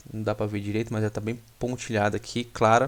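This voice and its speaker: Here a man speaks with a fairly low pitch. His intonation is monotone and flat, at a moderate pace. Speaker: stock market analyst. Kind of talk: tutorial. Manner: casual, many filler words.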